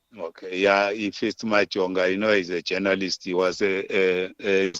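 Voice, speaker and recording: The speaker has a Zimbabwean accent and talks at a moderate pace with monotone, flat intonation. The sound is dry and close, with no echo. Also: man, hardly any pauses. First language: Shona. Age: 70s. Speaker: war veteran, political commentator. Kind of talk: interview, political commentary.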